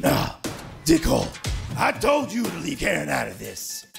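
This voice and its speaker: A raspy man's voice over faint background music. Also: moderate pace. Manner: bitter, then fired up and profane.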